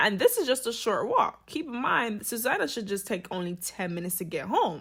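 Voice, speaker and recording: On a very clean recording with a silent background, a woman talks at a fairly quick pace in a bright, sharp, animated tone, her pitch swinging very widely. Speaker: true crime commentator. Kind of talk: casual storytelling commentary. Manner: fast.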